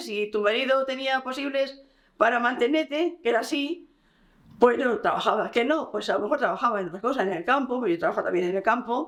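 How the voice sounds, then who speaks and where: A woman's high-pitched voice at a fairly quick pace, with lively intonation. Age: 70s. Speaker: former rural worker. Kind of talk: interview.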